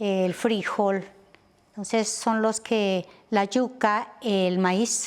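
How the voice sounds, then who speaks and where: A woman talks in a fairly high pitch with monotone, flat intonation. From Colombia, Nariño (Linares). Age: 60s. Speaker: teacher. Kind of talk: interview. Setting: outdoors, garden patio.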